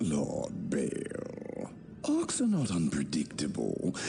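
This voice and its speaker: Against clear background noise, a man performs in a put-on character voice. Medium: video game. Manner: smooth, formal.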